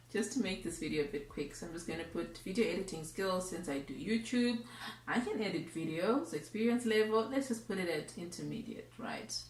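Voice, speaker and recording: Someone with a Zimbabwean accent speaks at a fairly quick pace with lively intonation, over noticeable background noise and audible room echo. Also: woman, medium pitch for a woman. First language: Shona. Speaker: YouTuber. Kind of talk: tutorial. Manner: casual.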